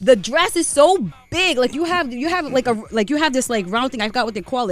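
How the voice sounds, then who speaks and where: Talking at a very fast pace with hardly any pauses, a woman uses a high pitch and very wide pitch swings over noticeable background noise. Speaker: morning radio co-host. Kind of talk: opinionated rant on a radio talk segment. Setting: radio studio. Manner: fired-up, indignant and blunt.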